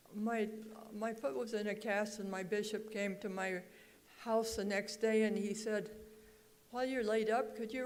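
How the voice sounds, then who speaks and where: Fairly high-pitched female voice with fairly even intonation and audible room echo. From Oregon, US. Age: 80s+. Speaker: songwriter. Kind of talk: speech to an audience. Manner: halting.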